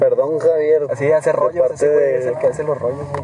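This man's voice sits at a fairly high pitch with fairly even intonation. Noticeable background noise runs behind him. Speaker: podcast host. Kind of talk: casual chat.

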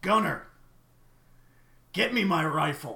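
A man puts on a character voice, pitched high. It comes out raspy and gruff. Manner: commanding.

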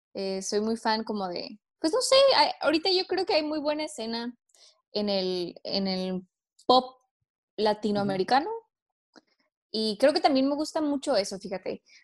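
The speech moves at a fairly slow pace, broken by long, frequent pauses. Its pitch swings very widely. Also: woman, fairly high pitch for a woman. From Mexico, Tijuana. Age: 20s. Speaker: singer-songwriter. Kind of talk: casual interview.

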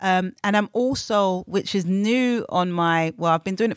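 A speaker with a London accent talks at a moderate pace with ordinary pitch variation. The sound is dry and close with no echo, on a very clean recording with a silent background. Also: woman. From London, England. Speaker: community worker and author. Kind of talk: interview.

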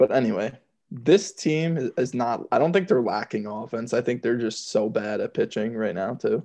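Against a quiet background, a man with an American accent talks in a normal speaking voice at a medium pitch with lively intonation. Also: moderate pace. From Georgia, US. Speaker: podcast co-host, baseball fan. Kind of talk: casual chat, sports talk. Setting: remote call between hosts.

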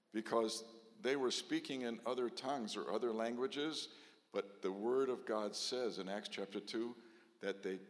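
Medium in pitch, a man speaks at a very slow pace. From Texas. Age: 70s. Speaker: rabbi. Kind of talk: sermon.

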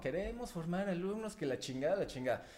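A man talks fairly quickly in an unremarkable speaking voice, with ordinary pitch variation. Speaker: podcast co-host. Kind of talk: casual chat.

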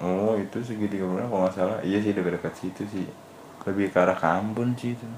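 A man at a very fast pace, his intonation fairly even. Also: fairly low pitch for a man. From Medan, North Sumatra (Batak). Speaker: podcast co-host. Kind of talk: casual chat.

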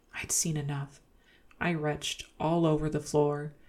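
A soft-spoken woman talks at a moderate pace with a very deep, low pitch and a gentle, playful tone. Her recording is very clean, with a silent background. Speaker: ASMR podcast host reading horror stories. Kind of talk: ASMR horror story narration, reading Reddit tales aloud in a hushed, bedtime tone. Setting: home studio, podcast recording. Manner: soft-spoken, gentle, with playful laughs.

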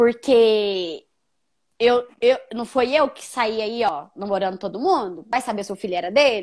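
A woman with an unremarkable speaking voice talks at a fairly high pitch with lively intonation and big swings in loudness. The recording is very clean, with a silent background. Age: 30s. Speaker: young mother sharing her story. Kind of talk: testimony.

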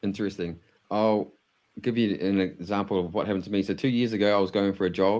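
A man with a New Zealand accent talks very fast in a fairly low voice, his intonation flat and monotone. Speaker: podcast host. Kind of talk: interview conversation.

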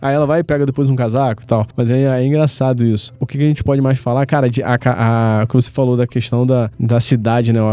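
A man with a normal speaking voice of medium pitch, at a fairly quick pace with hardly any pauses, fairly even intonation and very even loudness. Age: 30s. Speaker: podcast host. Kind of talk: casual chat.

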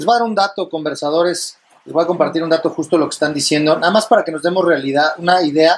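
This man talks at a very fast pace with a high pitch and ordinary pitch variation. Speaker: podcast host. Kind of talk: casual chat.

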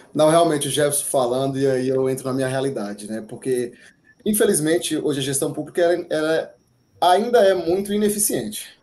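With a normal speaking voice, a man talks at a fairly quick pace, his fairly high pitch carried by lively intonation. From Bahia, Brazil. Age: 30s. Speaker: civil engineer, public-sector project manager. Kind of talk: webinar talk.

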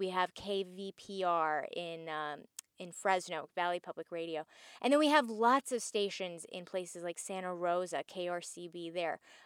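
A woman with a Californian accent talks at a moderate pace, her loudness swinging widely, in a very clean, dry, close recording with a silent background and no echo. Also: ordinary pitch variation. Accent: Californian American. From Southern California. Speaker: radio journalist. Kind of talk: interview. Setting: in a car.

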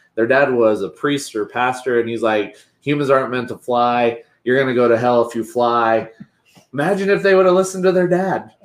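Lively in intonation and fairly quick in pace, a man with a medium pitch has an unremarkable speaking voice. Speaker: podcast co-host. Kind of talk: casual podcast interview.

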